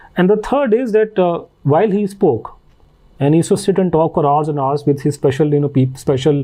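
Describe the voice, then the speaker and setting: At a fairly quick pace, the voice has a dark, mellow tone and an Indian accent. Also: man, fairly high pitch for a man. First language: Hindi. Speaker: author and researcher. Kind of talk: podcast interview. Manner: halting with frequent fillers.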